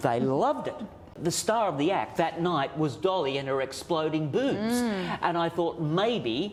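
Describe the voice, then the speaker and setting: Noticeable background noise accompanies a man with a high pitch who talks at a fairly slow pace with lively intonation. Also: hardly any pauses. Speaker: master puppeteer. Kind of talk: interview answer. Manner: storytelling, animated, amused.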